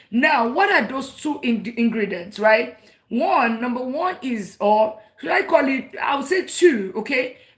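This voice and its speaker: A woman's high-pitched voice, animated in tone and lively in intonation, at a fairly slow pace. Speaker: personal finance educator. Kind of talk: livestream teaching. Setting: live stream.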